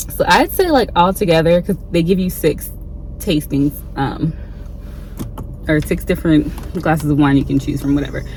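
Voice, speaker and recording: A woman with an American accent speaks at a fairly low pitch and a moderate pace, with ordinary pitch variation. There is noticeable background noise. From Ohio, US Midwest. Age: 30s. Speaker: travel vlogger. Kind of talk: casual vlog talk to camera. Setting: in a car. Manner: casual with many fillers (um, like).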